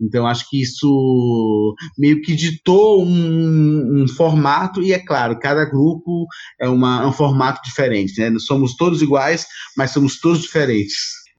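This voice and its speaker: A man's plain, everyday voice, fairly high-pitched, with ordinary pitch variation and a fairly slow pace. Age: 40s. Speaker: actor and theatre producer. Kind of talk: interview conversation.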